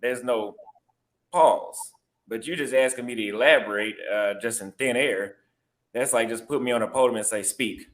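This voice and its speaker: With a Texas accent, a man talks at a moderate pace in a medium pitch, with fairly even intonation and long, frequent pauses. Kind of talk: heated debate.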